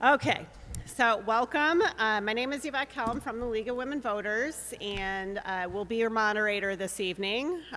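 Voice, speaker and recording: On a very clean recording with a silent background, a woman speaks loudly in a bright, sharp tone at a fairly high pitch, using lively intonation at a moderate pace. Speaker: forum moderator. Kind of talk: moderating a public candidate forum. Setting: public forum with live audience, live streamed.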